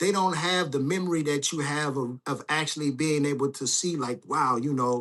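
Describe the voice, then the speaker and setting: A man with an American accent and a fairly high pitch has a normal speaking voice, talking at a moderate pace with fairly even intonation and hardly any pauses. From Compton, Los Angeles, California. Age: 40s. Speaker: livestream host. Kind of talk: call-in show conversation.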